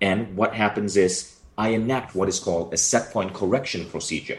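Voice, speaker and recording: Somewhat breathy and very deep in pitch, a man with a Malaysian accent talks at a fairly quick pace. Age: 40s. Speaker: author and company founder. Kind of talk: interview.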